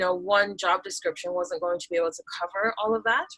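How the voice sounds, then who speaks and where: A woman with an ordinary speaking voice, medium in pitch, in an American accent at a fairly quick pace. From Taiwan. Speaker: business automation coach. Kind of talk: podcast interview. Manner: many filler words and restarts.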